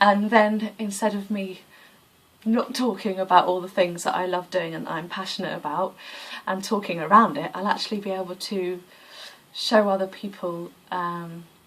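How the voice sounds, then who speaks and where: A woman's medium-pitched voice at a moderate pace, with fairly even intonation and big swings in loudness. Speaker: yoga vlogger. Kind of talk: casual vlog monologue. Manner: hesitant with many fillers.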